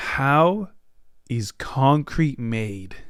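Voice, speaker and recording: The recording is spotless, with nothing audible in the background. A man talks with ordinary variation in pitch. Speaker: podcast host. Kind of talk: casual solo podcast chat. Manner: fast; animated.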